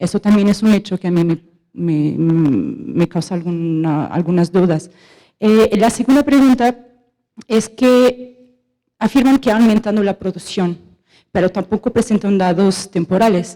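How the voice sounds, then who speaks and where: A woman speaks with a Portuguese accent at a medium pitch and a fairly slow pace. Her tone is dark and mellow, with ordinary pitch variation. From Portugal. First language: Portuguese (speaking Spanish). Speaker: audience member asking questions, economist. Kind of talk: question from audience at panel debate. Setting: auditorium with audience. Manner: halting, with fillers and self-corrections.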